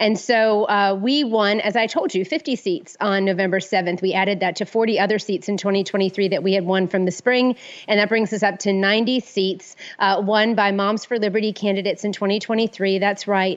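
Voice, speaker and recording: Here a woman uses a plain, everyday voice at medium pitch, keeping a moderate pace, fairly even intonation, very even loudness and hardly any pauses. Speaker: conservative activist. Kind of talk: interview.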